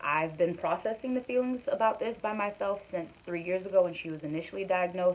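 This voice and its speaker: A woman at a fairly quick pace, fairly low in pitch, with ordinary pitch variation. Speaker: vlogger. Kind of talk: personal vlog, casual talk to camera. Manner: fast; hesitant, many fillers. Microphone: recorded on phone.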